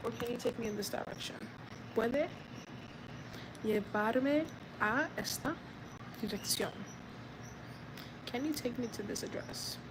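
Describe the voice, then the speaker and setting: Soft-spoken, a woman with an American accent speaks fairly slowly at a fairly high pitch with ordinary pitch variation. She leaves long, frequent pauses, and there is noticeable background noise. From United States. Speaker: vlogger learning Spanish. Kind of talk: live stream language practice. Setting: outdoors. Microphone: too quiet.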